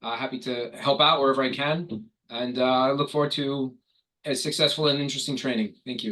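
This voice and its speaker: A man with a New York accent, bright, sharp tone, medium pitch, fairly even intonation and a fairly quick pace. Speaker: corporate trainer and public adjuster. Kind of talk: online corporate training. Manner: fast.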